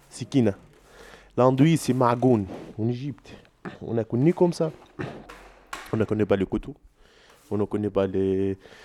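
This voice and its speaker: Heard in a dry, close sound with no echo, a man speaks at medium pitch in a dark, mellow tone. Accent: Egyptian. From Egypt. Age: 20s. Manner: halting, broken French.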